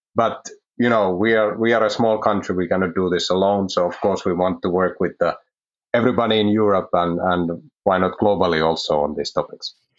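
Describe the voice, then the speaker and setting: Speaking with a Finnish accent, a man moves at a fairly quick pace with a fairly low pitch. His loudness is very even and his intonation fairly even. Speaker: research manager. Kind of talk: interview.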